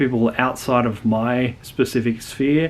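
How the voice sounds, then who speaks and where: A man speaks with an Australian accent at a fairly slow pace. His pitch is medium and his intonation fairly even. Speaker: youtuber, educational channel creator. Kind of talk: casual channel intro monologue. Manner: hesitant, many fillers.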